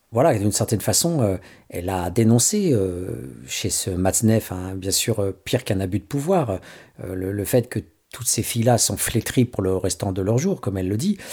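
In a very clean recording with a silent background, a man with a fairly low pitch and a dark, mellow tone talks at a moderate pace, somewhat breathy, with ordinary pitch variation. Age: 50s. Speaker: radio host. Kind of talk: radio commentary. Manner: halting.

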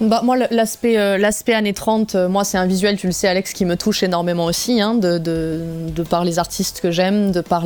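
With noticeable background noise, a woman at a medium pitch speaks at a moderate pace with fairly even intonation. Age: 30s. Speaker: metal singer. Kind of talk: radio interview.

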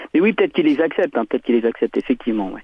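This man's fairly high voice rises and falls in very wide pitch swings. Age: 50s. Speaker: caller, former conscript. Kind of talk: radio phone-in.

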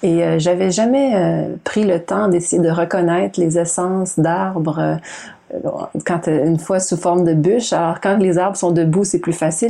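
With a Quebec accent, a woman speaks at a moderate pace and fairly low pitch, her tone dark and mellow and her intonation fairly even. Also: very even loudness. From Quebec, Montreal. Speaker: novelist and environmental activist. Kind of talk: interview. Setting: video call. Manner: halting.

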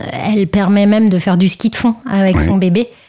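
A woman talks at a moderate pace and medium pitch in an ordinary speaking voice. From Brittany, France. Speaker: long-distance cyclist and new mother. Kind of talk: radio interview.

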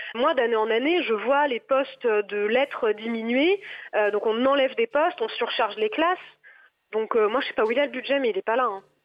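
A woman speaks at a moderate pace with a fairly high pitch. Her pitch varies in an ordinary way. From western France, Nantes. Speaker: secondary school French teacher. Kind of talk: radio interview. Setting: phone call. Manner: hesitant.

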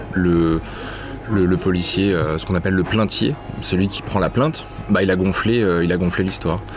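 Moderate pace and ordinary pitch variation from a man with a very deep, low voice, amid noticeable background noise. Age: young. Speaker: investigative journalist and author. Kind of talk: interview.

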